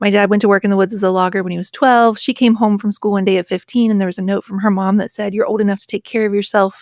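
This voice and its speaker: A woman speaks very fast at medium pitch in a flat monotone. The recording is very clean and dry, close with no echo, on a silent background. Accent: American. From rural West Virginia. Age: 40s. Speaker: author and podcaster. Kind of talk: interview conversation.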